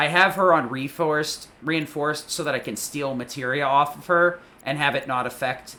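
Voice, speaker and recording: Recorded very cleanly against a silent background, the voice moves at a fairly quick pace. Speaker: gaming streamer. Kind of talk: tutorial. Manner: fast; many fillers like um and uh.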